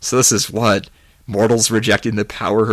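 What you hear is plain reading aloud.

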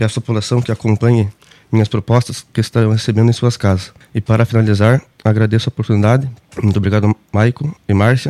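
A man speaks at a very fast pace in a monotone, with flat intonation and very even loudness. His medium-pitched voice has a dark, mellow tone and a dry, close sound with no echo. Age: 20s. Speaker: political candidate. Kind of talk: radio interview with prepared statements. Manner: formal.

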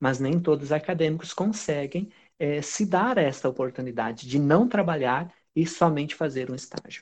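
With a southern Brazilian accent, a man talks at a moderate pace with a fairly high pitch and lively intonation. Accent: southern Brazilian, dragged R. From Brazil, raised by southerners (born in Pará). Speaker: lawyer and teacher. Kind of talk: interview. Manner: halting, many fillers.

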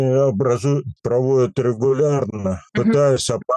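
A man speaks at a fairly slow pace with a dark, mellow tone and medium pitch, recorded with a dry, close sound and no echo. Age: 80s+. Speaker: artist and local historian. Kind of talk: interview. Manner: halting.

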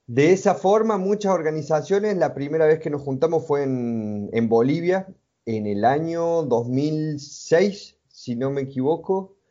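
Here a man talks at a fairly slow pace. His pitch swings very widely. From Argentina, Córdoba province. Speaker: multimedia designer and traveler. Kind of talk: interview.

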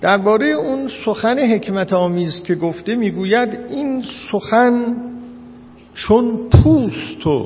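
A man with a high pitch at a very slow pace, lively intonation, noticeable background noise and audible room echo. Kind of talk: lecture. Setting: classroom with live audience. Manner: halting.

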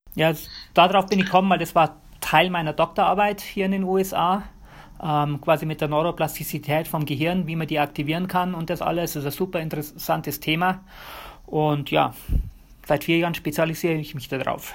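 Recorded very cleanly against a silent background, a man with a normal speaking voice talks at a fairly quick pace and a fairly high pitch, his intonation fairly even. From Bavaria, Germany. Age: 40s. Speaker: physiotherapist. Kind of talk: interview.

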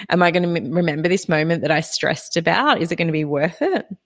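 An animated tone comes through in this voice with an Australian accent. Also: woman. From Australia, Victorian south coast. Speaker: podcast host. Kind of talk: live solo podcast talk with listener chat. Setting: live online broadcast.

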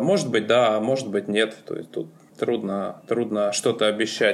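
A man talking at a fairly slow pace. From Moscow region, Russia. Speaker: ski coach. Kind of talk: interview. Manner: hesitant.

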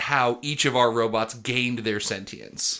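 At a fairly slow pace, a man speaks in a bright, sharp, animated tone. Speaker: comedy podcast host. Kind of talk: casual comedic banter. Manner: animated, joking.

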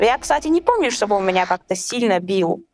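Music plays behind a woman whose intonation is lively. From Chechnya. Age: 20s. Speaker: guest sharing personal story. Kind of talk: testimony in conversation.

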